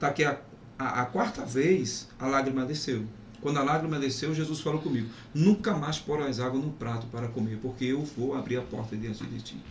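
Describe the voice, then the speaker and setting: A man with a Pernambuco accent at a medium pitch, fairly quick pace and ordinary pitch variation, with audible room echo and noticeable background noise. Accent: Pernambuco accent, still present. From Pernambuco, Brazil (Zona da Mata). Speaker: pastor. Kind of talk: testimony.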